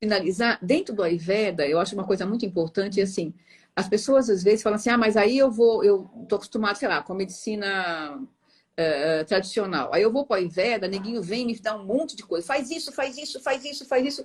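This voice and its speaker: A somewhat breathy woman's voice, fairly quick, with lively intonation. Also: medium pitch for a woman. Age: 60s. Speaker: meditation teacher. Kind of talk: interview.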